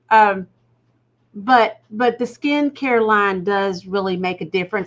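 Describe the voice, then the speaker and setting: A woman speaks at a very slow pace. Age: 60s. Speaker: executive producer. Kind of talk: casual chat.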